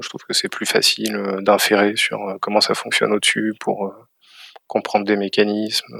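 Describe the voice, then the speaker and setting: Recorded dry and close with no echo, a man speaks at a moderate pace with big swings in loudness. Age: 30s. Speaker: cybersecurity company head. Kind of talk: interview. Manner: halting.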